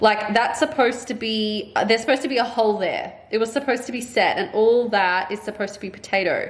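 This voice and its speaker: Talking at a very fast pace with hardly any pauses, a woman with an Australian accent and a fairly high pitch comes through over noticeable background noise. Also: ordinary pitch variation. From Australia, Melbourne. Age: 30s. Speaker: vlogger and substitute primary school teacher. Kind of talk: casual vlog talk to camera. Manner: casual, chatty with many fillers.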